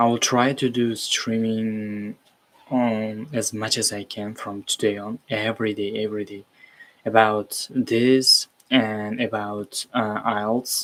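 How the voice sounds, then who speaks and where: A man's medium-pitched voice with an Uzbek accent, very slow and flat in intonation, with big swings in loudness. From Uzbekistan. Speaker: streamer learning web development. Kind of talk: live coding stream. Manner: halting, many fillers.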